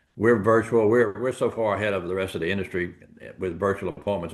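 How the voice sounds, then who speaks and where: A man with a Southern US accent and a fairly low voice. He talks very fast. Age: 70s. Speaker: insurance agency owner. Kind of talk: interview. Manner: animated.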